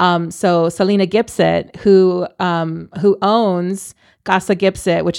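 On a very clean recording with a silent background, a woman speaks with an American accent. She has a normal speaking voice, medium pitch and fairly even intonation. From Texas, San Antonio. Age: 30s. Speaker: stand-up comedian. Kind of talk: casual chat.

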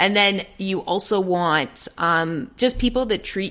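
A woman with a Canadian accent has a normal speaking voice at medium pitch, with ordinary pitch variation. The recording is very clean, with a silent background. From Toronto, Canada. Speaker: sports broadcaster. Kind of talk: casual chat.

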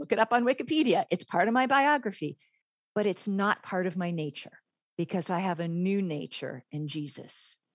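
A woman with an American accent, medium pitch and very wide pitch swings at a moderate pace, in a dry, close sound with no echo on a very clean recording with a silent background. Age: 50s. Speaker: former English professor. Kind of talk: interview.

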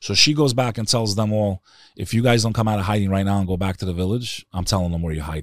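In a very clean recording with a silent background, a man with a New York accent speaks very fast at a fairly low pitch with ordinary pitch variation. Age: 40s. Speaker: Albanian-American podcaster. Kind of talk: casual interview conversation. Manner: animated.

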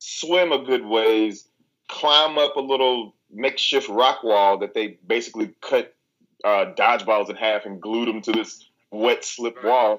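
With a Southern US accent, a man talks fairly slowly in a medium pitch with lively intonation, on a very clean recording over a silent background. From Arkansas, US South. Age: 30s. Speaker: reality TV competitor. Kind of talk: casual chat.

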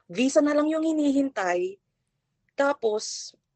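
A woman with a Filipino accent, talking at a fairly slow pace. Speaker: caller. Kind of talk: advice call.

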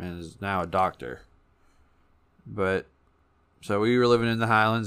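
A man's fairly low voice in a Kentucky accent, bright and sharp in tone, at a moderate pace with fairly even intonation, on a very clean recording with a silent background. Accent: Kentucky Southern US. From Kentucky, Owensboro. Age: 20s. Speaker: recovering addict. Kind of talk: testimony. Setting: studio.

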